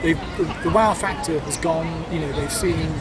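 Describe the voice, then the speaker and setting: A man at a fairly slow pace amid loud background noise. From England. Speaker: animation studio co-founder and producer. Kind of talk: interview. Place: garden.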